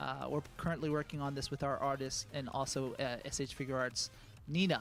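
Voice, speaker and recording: A man speaks at a fairly quick pace in a fairly high pitch. His intonation stays fairly even. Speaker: game company staff presenting merchandise. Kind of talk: live product presentation.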